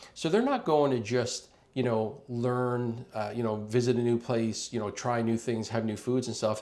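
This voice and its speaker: A man talks at a fairly quick pace and medium pitch. His is a normal speaking voice with fairly even intonation. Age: 50s. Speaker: travel advisor. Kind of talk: informal explainer video. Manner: conversational with many fillers.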